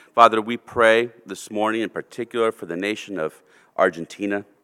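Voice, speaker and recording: A man's fairly low voice has a bright, sharp tone, captured in a very clean, dry and close recording with no echo and a silent background. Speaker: church member leading prayer. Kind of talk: congregational prayer. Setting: church. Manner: halting, with frequent fillers.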